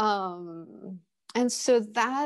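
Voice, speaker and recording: The speaker has a Korean accent. The background is quiet. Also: woman. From Kenya (Nairobi), born in Seoul, Korea. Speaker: visual artist. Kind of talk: interview. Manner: hesitant, many fillers.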